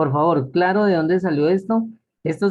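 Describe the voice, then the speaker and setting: A man speaks with a plain, everyday voice. His pace is moderate and his pitch variation ordinary. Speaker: math teacher. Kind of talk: lecture.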